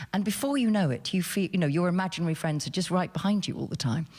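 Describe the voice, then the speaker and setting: Very fast, somewhat breathy speech on a very clean recording with a silent background. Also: woman. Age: 60s. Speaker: novelist. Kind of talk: panel discussion. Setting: stage with audience. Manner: animated.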